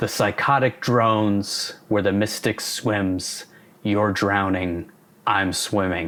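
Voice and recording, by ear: A put-on character voice from a man, fairly low in pitch and delivered at a very slow pace.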